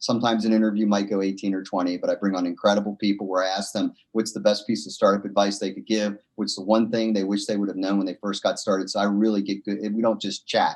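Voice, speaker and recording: Talking very fast with hardly any pauses, a man uses a fairly low pitch. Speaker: entrepreneur. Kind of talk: interview. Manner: animated.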